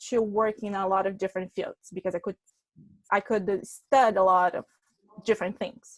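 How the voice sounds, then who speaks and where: A woman speaks at a moderate pace. The sound is dry and close, with no echo. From Brazil. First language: Portuguese. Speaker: public relations consultant. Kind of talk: webinar presentation.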